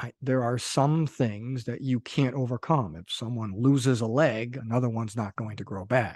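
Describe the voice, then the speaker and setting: Over a quiet background, a man with an American accent speaks in an ordinary speaking voice at medium pitch and a moderate pace, with ordinary pitch variation, hardly any pauses, and a dry, close sound with no echo. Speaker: podcast host. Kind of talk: casual interview.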